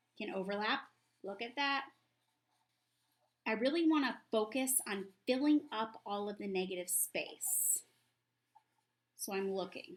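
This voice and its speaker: Lively in intonation, a woman speaks at a fairly slow pace with a fairly high pitch and long, frequent pauses. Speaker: art teacher. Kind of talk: tutorial. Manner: animated.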